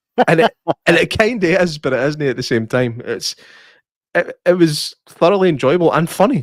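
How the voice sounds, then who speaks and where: A man speaks in a high pitch with a Scottish accent and lively intonation. His moderate pace comes through with a dry, close sound and no echo. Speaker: podcast host. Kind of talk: casual chat.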